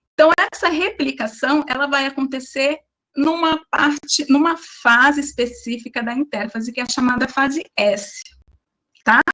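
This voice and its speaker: A woman's raised, projected voice, high in pitch, at a fairly slow pace with ordinary pitch variation. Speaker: biology teacher. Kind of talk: online lecture. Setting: online class.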